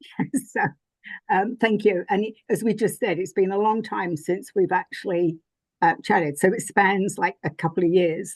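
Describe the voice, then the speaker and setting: A woman speaks with a strong English accent and ordinary pitch variation. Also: medium pitch for a woman, moderate pace, quiet background. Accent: thick English. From England. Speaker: spiritual teacher and author. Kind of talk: interview conversation. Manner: hesitant, many fillers.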